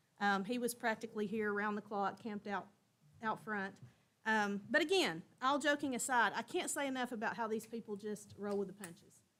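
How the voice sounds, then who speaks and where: A woman talks at a fairly quick pace with a Tennessee accent. Her pitch is fairly high and moves in an ordinary way. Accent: Southern US (Tennessee). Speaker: school district director. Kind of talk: board meeting report. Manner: loud.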